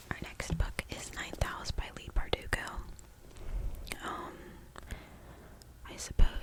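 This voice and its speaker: Whispered words come fairly slowly, broken by long, frequent pauses, with noticeable background noise behind them. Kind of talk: casual talk to camera introducing books. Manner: whispered, soft-spoken.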